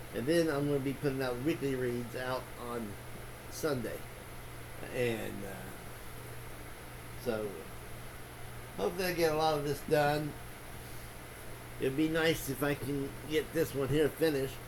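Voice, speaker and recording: With fairly even intonation and a moderate pace, a man speaks with long, frequent pauses. Room echo is audible, and background noise is noticeable. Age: 60s. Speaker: booktuber, book reviewer. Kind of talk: casual vlog monologue. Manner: halting, many fillers and restarts.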